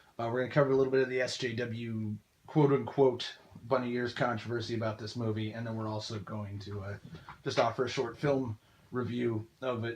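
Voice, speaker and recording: Speaking at a fairly quick pace, a man with a medium pitch sounds somewhat breathy and holds a flat, monotone intonation. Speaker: film reviewer, video commentator. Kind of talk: monologue film review. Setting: audio-only recording. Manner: hesitant, many fillers.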